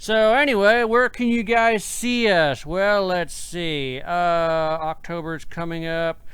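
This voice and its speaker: In a very clean recording with a silent background, a man talks at a very slow pace with hardly any pauses, a high pitch and lively intonation. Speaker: podcast host and paranormal investigator. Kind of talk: casual chat. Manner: slurring.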